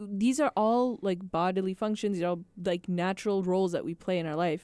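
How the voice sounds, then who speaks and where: A woman with an American accent, a dark, mellow tone, medium pitch, ordinary pitch variation and a fairly quick pace, on a very clean recording with a silent background. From Minneapolis-Saint Paul, Minnesota. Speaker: biology student and phlebotomist. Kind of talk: casual chat. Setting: studio.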